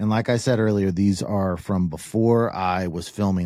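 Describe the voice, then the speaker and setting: The very clean recording, with a silent background, features a man speaking at a moderate pace in a fairly low voice with a dark, mellow tone and ordinary pitch variation. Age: 50s. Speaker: podcast host. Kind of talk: solo storytelling monologue. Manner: casual, with frequent fillers and repetitions.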